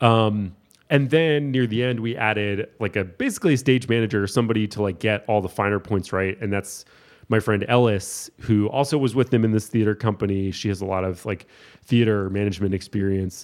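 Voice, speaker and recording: A man with a plain, everyday voice talks at a fairly quick pace, his fairly low pitch moving in an ordinary way against a quiet background. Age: 30s. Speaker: painter and art show producer. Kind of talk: casual chat. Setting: in person, drinking beer.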